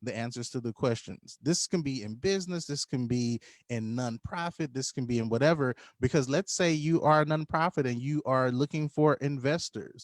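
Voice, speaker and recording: A man with a plain, everyday voice, fairly high in pitch, at a moderate pace with ordinary pitch variation and a dry, close sound with no echo. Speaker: business coach. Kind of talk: live online tutorial. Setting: livestream.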